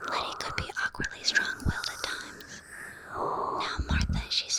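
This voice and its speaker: A woman whispers at a moderate speed while noticeable background noise can be heard. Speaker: vtuber ASMR streamer. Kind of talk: audiobook-style narration with character dialogue. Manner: soft-spoken, whispering.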